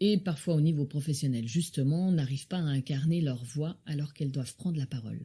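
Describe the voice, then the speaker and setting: A woman speaks at a fairly quick pace with a very deep, low pitch and ordinary pitch variation. Her tone is dark and mellow, and somewhat breathy. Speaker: podcast host. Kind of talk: podcast interview introduction.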